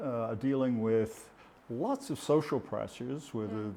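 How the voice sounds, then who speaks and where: At a moderate pace, a man speaks at medium pitch with a dark, mellow tone. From Dunedin, New Zealand. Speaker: business executive, former insurance CEO. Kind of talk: interview answer.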